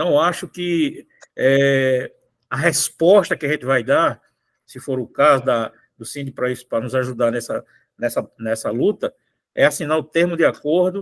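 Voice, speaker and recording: A normal speaking voice from a man, fairly high in pitch, with ordinary pitch variation, a moderate pace, and a dry, close sound with no echo. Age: 60s. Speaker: union federation president. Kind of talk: online union meeting talk.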